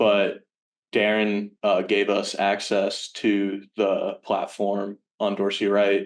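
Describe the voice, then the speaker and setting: Speaking very slowly in a Virginia accent, a man keeps a fairly low pitch, a monotone, flat intonation and very even loudness. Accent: American, Virginia. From Richmond, Virginia, US. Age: 20s. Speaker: college student intern. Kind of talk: casual interview chat. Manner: hesitant, many fillers.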